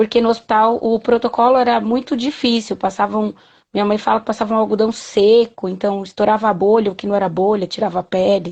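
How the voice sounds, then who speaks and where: An unremarkable speaking voice is heard with fairly even intonation. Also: woman, fairly high pitch for a woman, fairly quick pace. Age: 30s. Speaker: patient advocate and mother. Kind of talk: interview.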